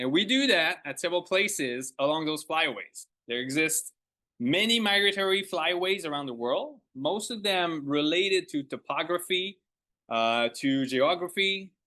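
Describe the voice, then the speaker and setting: Against a quiet background, a man speaks at a moderate pace with a high pitch, a bright, sharp tone and lively intonation. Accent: French. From Quebec. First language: French. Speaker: ornithologist. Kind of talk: lecture. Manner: halting.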